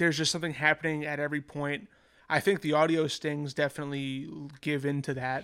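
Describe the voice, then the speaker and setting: Speaking at a very fast pace, a man with a fairly high pitch and a bright, sharp tone keeps his intonation fairly even in a very clean recording with a silent background. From US Northeast, New York. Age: 20s. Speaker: musician, podcast guest. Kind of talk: casual chat. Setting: in-person in an apartment.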